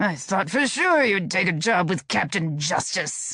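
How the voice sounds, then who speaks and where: A growling, put-on character voice talks at a moderate pace. Its loudness stays very even. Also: man, high pitch for a man, lively intonation. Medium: read story. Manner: petulant, demanding.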